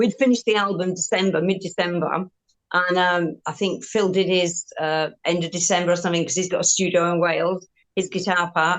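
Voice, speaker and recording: A woman with a Yorkshire accent speaks at a medium pitch with fairly even intonation. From Yorkshire, northern England. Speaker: rock guitarist. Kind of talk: interview.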